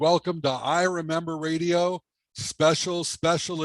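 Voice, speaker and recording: A man talks at a fairly slow pace with a fairly high pitch. It is a plain, everyday voice. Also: dry, close sound with no echo. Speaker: radio show host, interviewer. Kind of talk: interview questions.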